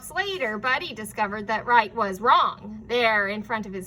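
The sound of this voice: This is an unforced reading voice. The delivery is read aloud.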